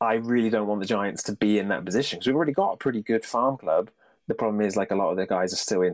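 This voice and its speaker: Very fast and fairly low, a man talks in a British accent with ordinary pitch variation. His loudness stays very even on a very clean recording with a silent background. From Britain. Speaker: baseball fan podcast guest. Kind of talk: casual chat.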